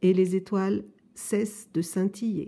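A soft-spoken woman at a very slow pace, her tone gentle and warm as well as dark and mellow. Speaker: story reader. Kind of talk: children's story audiobook, reading a picture book aloud. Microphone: phone near.

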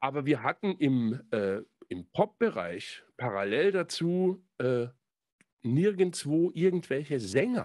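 Over a quiet background, a man speaks at a very slow pace with very wide pitch swings. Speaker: podcast host and songwriter; podcast host. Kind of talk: casual chat. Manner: hesitant, many fillers. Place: home room. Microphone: studio mic.

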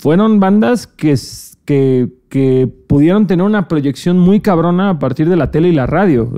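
Lively intonation marks this man's high-pitched voice. He keeps a fairly slow pace and very even loudness. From Cancún, Mexico. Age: 20s. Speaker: podcast host. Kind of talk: casual chat. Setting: studio.

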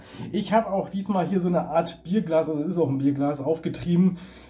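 A man speaks with a high pitch. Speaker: beer reviewer. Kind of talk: casual vlog chat. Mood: cheerful, relaxed. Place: home room. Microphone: phone near.

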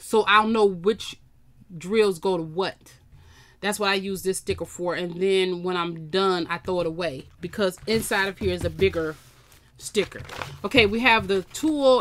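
Moderate pace, ordinary pitch variation, and light background noise. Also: woman. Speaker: craft channel host. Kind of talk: casual unboxing haul chat. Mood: relaxed, amused.

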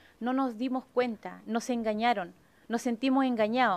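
The speaker has a Chilean accent and a fairly quick pace. Pitch variation is ordinary. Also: woman. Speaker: union representative. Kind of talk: impassioned union speech. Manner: urgent, indignant. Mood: concerned, indignant. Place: meeting room. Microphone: podium.

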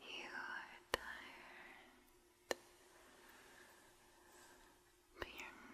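A whispering voice with a soothing tone. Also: woman. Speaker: relaxation video host. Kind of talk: soft guided relaxation talk. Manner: soft, slow, soothing ASMR murmur. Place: studio. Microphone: studio mic.

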